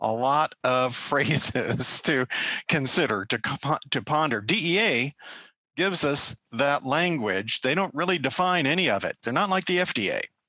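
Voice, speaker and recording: In a dry, close recording with no echo, a man with an American accent speaks at a fairly slow pace, his fairly high voice bright and sharp, his intonation lively and his loudness very even. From Kansas. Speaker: pharmacy law professor. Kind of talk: interview.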